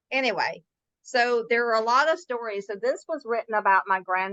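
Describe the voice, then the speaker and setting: A woman with a fairly high pitch and a bright, sharp tone talks at a moderate pace. The sound is dry and close with no echo, over a quiet background. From US South, Mississippi. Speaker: author. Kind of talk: interview.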